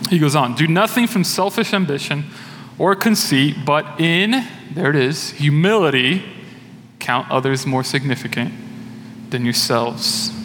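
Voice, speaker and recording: Amid audible room echo and noticeable background noise, a man with a fairly high pitch and lively intonation speaks at a fairly slow pace and very even loudness, with long, frequent pauses. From Brazil. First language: Portuguese. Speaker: church elder, lay preacher. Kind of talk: sermon. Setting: church.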